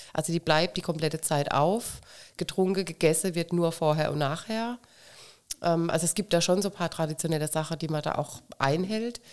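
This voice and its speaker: An unremarkable speaking voice moves at a moderate pace with ordinary pitch variation. The recording is very clean, with a silent background. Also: woman, fairly low pitch for a woman. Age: 50s. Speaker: carnival club president. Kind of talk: casual interview.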